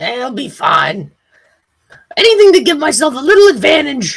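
The voice is a put-on character voice. It sits at a high pitch and keeps a moderate pace. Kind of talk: comic overacting. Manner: excitable, comic, loud.

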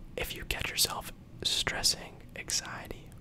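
A man's soothing whisper at a very slow pace. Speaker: ASMR creator. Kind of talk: ASMR positive affirmations. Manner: whispered, slow, soothing. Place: home room. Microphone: studio mic.

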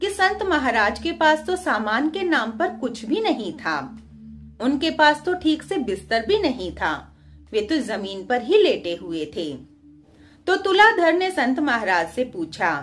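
Faint music sits in the background. The talking proceeds at a fairly slow pace. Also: woman. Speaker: storyteller on own channel. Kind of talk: storytelling narration. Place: home room. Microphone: phone near.

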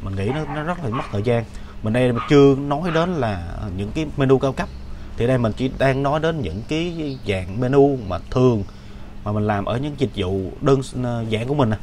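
Speech at a moderate pace over light background noise. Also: man. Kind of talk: casual explanatory talk. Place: workshop. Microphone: webcam.

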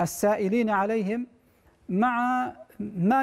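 A man is talking. The intonation stays fairly even. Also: quiet background. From Oman. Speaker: Islamic scholar; guest. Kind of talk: religious Q&A answering. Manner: formal. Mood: calm, measured. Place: studio. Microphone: lapel.

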